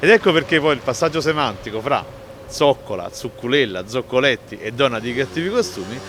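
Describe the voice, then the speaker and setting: Over noticeable background noise, a man with a fairly high voice talks at a fairly quick pace, his pitch swinging very widely. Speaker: writer and Neapolitan dialect expert. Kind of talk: explanatory talk on word origins.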